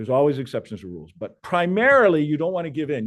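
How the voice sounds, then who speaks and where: A man talking at a very fast pace. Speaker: real estate coach. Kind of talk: coaching session.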